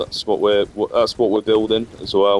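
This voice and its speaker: A man speaks in a fairly low-pitched voice. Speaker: gaming streamer. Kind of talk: gameplay commentary. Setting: live stream. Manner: monotone; casual, hesitant with fillers.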